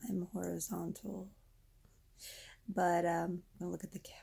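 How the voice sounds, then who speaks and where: The woman's voice is somewhat breathy. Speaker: vlogger. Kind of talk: personal vent vlog. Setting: lying down, talking to camera. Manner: halting.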